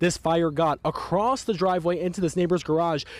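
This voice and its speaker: A man with a high pitch at a fairly quick pace. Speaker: TV news reporter. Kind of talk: TV news report.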